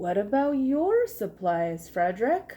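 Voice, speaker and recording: Put-on character voice from a woman, pitched high, the pace fairly slow. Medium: read story. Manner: questioning.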